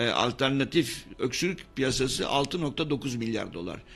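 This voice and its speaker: Fairly high for a man, a plain, everyday voice moves at a moderate pace with ordinary pitch variation. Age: 60s. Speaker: professor of medicine. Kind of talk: radio interview. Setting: radio studio.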